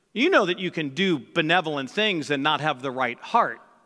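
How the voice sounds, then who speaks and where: A man speaks in a raised, projected voice with a bright, sharp tone and lively intonation. The recording is very clean, with a silent background. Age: 50s. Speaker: pastor. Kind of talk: sermon. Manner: halting.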